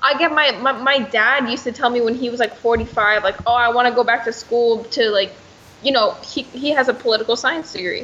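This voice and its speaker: Over noticeable background noise, a woman talks at a fairly quick pace in a high pitch with fairly even intonation. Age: young. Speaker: personal trainer and online fitness coach. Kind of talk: casual chat.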